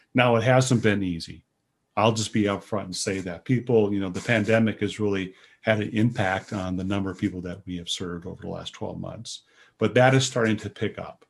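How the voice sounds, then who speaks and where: Man speaking at a fairly quick pace, with big swings in loudness, over a quiet background. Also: fairly low pitch for a man, fairly even intonation. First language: American Sign Language. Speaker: director of a state rehabilitation agency. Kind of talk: podcast interview.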